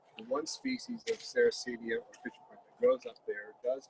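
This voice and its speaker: A man with an American accent. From Florida. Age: 60s. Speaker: plant grower. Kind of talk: casual interview.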